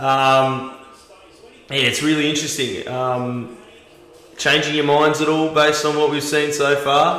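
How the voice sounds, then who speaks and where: A man speaks slowly-ish in a fairly high, monotone, flat voice. Room echo is audible. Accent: Australian. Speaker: live stream host. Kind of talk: live watch-party commentary. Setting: livestream. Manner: casual; halting, many fillers.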